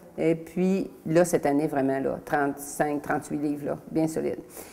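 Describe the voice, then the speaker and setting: Over noticeable background noise, a woman speaks at a very deep, low pitch with ordinary pitch variation. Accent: Quebec. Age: 60s. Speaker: testimonial client. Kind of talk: testimony. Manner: halting.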